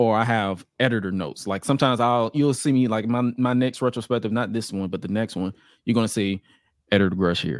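On a very clean recording with a silent background, a man of medium pitch talks at a very fast pace. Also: ordinary pitch variation. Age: 20s. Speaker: content creator. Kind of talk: casual chat.

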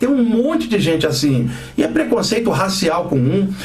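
The pace is moderate. Noticeable background noise and audible room echo are present. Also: man. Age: 50s. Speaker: radio host, spiritual teacher. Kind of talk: radio talk on spirituality. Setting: radio studio. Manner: animated.

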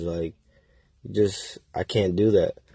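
Against a quiet background, a man with an American accent talks at a fairly slow pace in a fairly low pitch, his tone dark and mellow and somewhat breathy. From Waterbury, Connecticut. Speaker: aspiring entrepreneur podcaster. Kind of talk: casual monologue. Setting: in a car. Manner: halting, many fillers.

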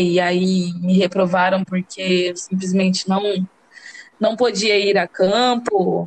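A woman talks at a very slow pace. Her pitch is medium and her intonation fairly even. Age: 20s. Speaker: university student and mother. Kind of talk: podcast interview. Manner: halting.

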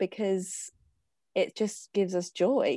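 A woman's voice with a dry, close sound with no echo, over a quiet background. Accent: English. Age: 20s. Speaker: dancer and writer. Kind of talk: casual chat.

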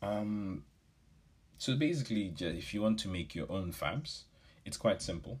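A man's somewhat breathy, fairly low voice with lively intonation, a fairly slow pace and long, frequent pauses. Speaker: business podcast host. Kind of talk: solo podcast talk. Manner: casual, with filler words.

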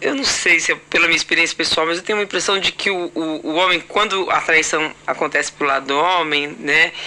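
Noticeable background noise sits behind a woman speaking at a moderate pace in a fairly low voice with ordinary pitch variation. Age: 50s. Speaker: podcast host. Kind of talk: casual chat.

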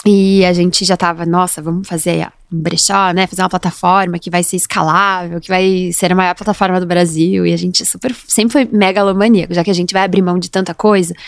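With hardly any pauses, a woman speaks at a fairly quick pace in a medium pitch and a monotone, flat intonation. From Brazil, Curitiba (Paraná). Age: 30s. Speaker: entrepreneur, former lawyer. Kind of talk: casual interview. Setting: studio.

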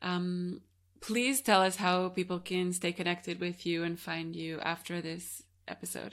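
Here is a woman with an ordinary speaking voice, fairly low in pitch. She talks at a fairly slow pace with fairly even intonation. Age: 20s. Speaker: podcast host, yoga teacher. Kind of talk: interview conversation. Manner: laughs often.

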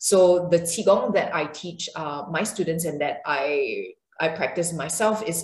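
A woman speaks with a fairly low pitch and fairly even intonation. Audible room echo and noticeable background noise fill the recording. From Singapore. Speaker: yoga and qigong teacher. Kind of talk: interview; guided movement practice. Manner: hesitant, many fillers.

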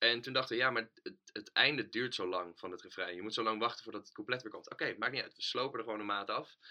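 Very fast and bright, sharp in tone, a man speaks at medium pitch with fairly even intonation. His loudness swings widely. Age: 20s. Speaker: band bassist. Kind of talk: casual interview. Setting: home studio.

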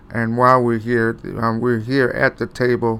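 This is an ordinary speaking voice with an American accent. It moves at a fairly slow pace. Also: man. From Cleveland, Ohio. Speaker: pastor and radio host. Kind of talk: casual interview.

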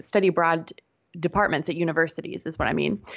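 A woman speaks at a fairly quick pace in a plain, everyday voice, fairly low in pitch, with fairly even intonation. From Pittsburgh, US. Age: 30s. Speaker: business coach. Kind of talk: interview.

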